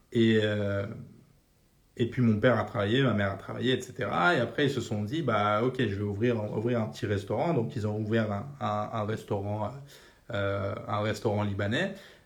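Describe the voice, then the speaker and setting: A man at a fairly low pitch and a moderate pace, fairly even intonation and audible room echo. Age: 30s. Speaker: personal finance podcaster. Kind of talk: casual monologue. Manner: casual, filler-heavy.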